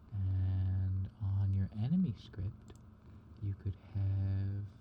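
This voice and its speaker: Soft-spoken and calm in tone, a man talks at a fairly low pitch. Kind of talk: software tutorial narration, casual talk to camera. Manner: soft-spoken, calm.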